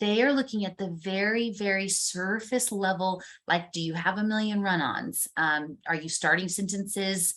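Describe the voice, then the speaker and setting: Using a plain, everyday voice, a woman speaks at a moderate pace with hardly any pauses, a medium pitch and ordinary pitch variation. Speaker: university instructor. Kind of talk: online class lecture. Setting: recorded video call. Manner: casual and upbeat.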